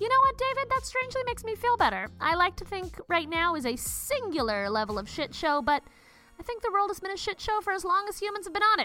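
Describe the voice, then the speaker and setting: A woman speaks very fast in an extremely high, raised and projected voice, with very wide pitch swings. Music plays in the background. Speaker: fitness podcast host. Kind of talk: fitness instruction mixed with comedic commentary. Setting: recording in a closet. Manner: brisk, clear, imperative exercise cues; sarcastic, irreverent, profane asides.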